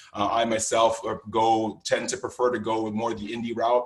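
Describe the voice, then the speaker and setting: The man's medium-pitched voice is somewhat breathy. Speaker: conference workshop instructor. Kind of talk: lecture. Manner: fast.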